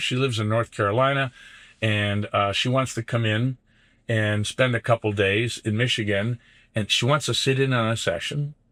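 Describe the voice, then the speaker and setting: The tone is bright and sharp, on a very clean recording with a silent background. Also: man. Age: 60s. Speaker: business coach. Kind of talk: casual chat. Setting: in a van.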